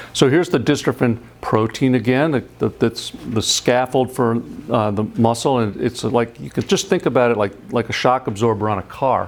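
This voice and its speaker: Talking with hardly any pauses, a man uses ordinary pitch variation over noticeable background noise. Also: medium pitch for a man, moderate pace. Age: 60s. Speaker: scientist. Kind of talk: lecture. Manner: halting, with frequent repetitions.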